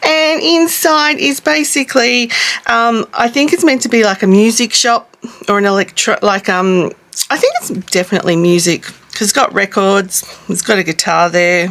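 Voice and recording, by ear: A woman talks at a moderate pace with few pauses. Her pitch is medium, with ordinary variation and a fairly bright tone.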